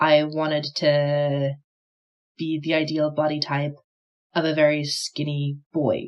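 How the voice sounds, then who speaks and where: Very slow and broken by long, frequent pauses, this woman's speech has a very deep, low pitch and monotone, flat intonation. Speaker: sculptor. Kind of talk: personal testimony. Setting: filmed in front of a camera.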